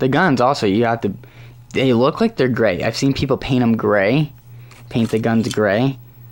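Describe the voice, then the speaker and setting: Here is a plain, everyday voice: a man with a medium pitch speaking at a moderate pace with very even loudness. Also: ordinary pitch variation. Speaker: hobby model reviewer. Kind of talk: product review. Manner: casual.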